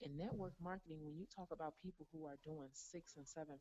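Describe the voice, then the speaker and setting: Quietly, a woman with a very deep, low pitch and a dark, mellow tone speaks at a very fast pace. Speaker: network marketing top earner. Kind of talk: motivational interview answer.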